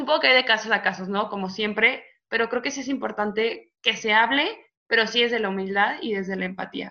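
Fairly quick in pace, a woman with a bright, sharp tone and fairly high pitch talks with ordinary pitch variation. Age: 20s. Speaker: psychology student. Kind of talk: casual chat.

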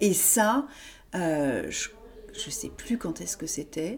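Speaking at a very slow pace, a woman uses a medium pitch. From Paris, France. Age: 40s. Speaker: author. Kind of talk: casual interview. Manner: halting, many fillers.

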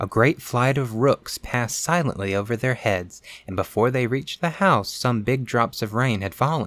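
The reader uses an unforced reading voice whose pitch moves in an ordinary way.

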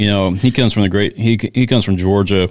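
With an unremarkable speaking voice and an American accent, a man talks at a fairly quick pace, fairly low in pitch, with fairly even intonation. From US South small town. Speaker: podcast co-host. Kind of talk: casual chat with reading from notes.

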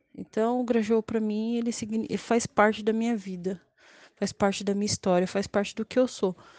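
A woman's fairly high-pitched voice at a moderate pace, fairly even in intonation, with a dry, close sound and no echo. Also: long, frequent pauses. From São Paulo, Grajaú. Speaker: local resident. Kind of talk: testimony.

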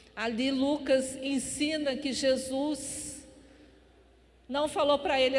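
A woman speaks at a high pitch. There is audible room echo. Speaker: pastor. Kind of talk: sermon.

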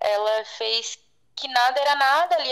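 Her intonation is lively. The woman's pitch is high. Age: 30s. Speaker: guest sharing personal story. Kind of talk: interview testimony.

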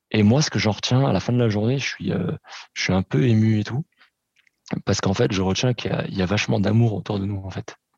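A man talks at a very fast pace in a fairly low pitch with ordinary pitch variation and long, frequent pauses, the sound dry and close with no echo. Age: 30s. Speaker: podcast guest. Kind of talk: casual chat.

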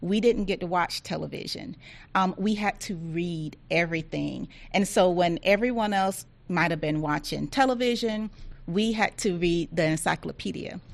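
A woman speaks with a Southern US accent at a moderate pace, her pitch varying in an ordinary way. The background is quiet. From rural Georgia, US South. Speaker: agency diversity office director. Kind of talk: interview.

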